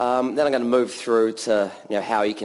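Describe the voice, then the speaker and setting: A man with a New Zealand accent at a fairly quick pace. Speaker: developer evangelist. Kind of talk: conference talk. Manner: casual, many filler ums.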